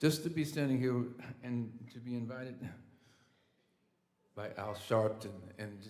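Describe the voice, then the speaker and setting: Audible room echo surrounds a fairly slow speaker with an American accent and ordinary pitch variation. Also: man. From Indiana. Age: 60s. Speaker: musician. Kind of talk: acceptance speech. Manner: halting.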